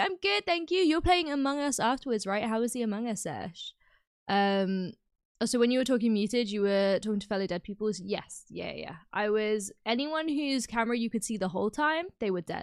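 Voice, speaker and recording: A speaker with a British accent uses very wide pitch swings at a fairly quick pace. The sound is dry and close, with no echo. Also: woman. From UK. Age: 20s. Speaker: gaming streamer. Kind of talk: casual chat. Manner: chatty.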